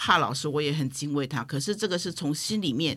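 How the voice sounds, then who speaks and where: A woman's voice with very wide pitch swings, in a very clean recording with a silent background. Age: 50s. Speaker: spiritual medium. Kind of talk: casual chat.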